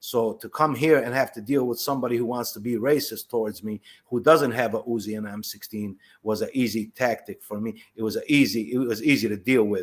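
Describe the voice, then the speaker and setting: A man speaks at a fairly quick pace with an Arabic accent. His intonation is fairly even. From Palestine, then Chicago from age 12. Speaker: former prisoner. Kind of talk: testimony. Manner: halting.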